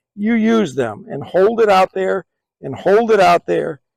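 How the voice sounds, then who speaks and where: Recorded dry and close with no echo, a man talks at a fairly slow pace with lively intonation. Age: 60s. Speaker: firearms hobby video host. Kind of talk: tutorial.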